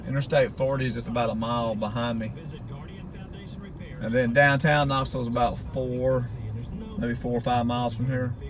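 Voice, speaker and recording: Music plays in the background as a man talks at a moderate pace. His intonation is monotone and flat, with long, frequent pauses. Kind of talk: casual vlog commentary. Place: car. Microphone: phone near.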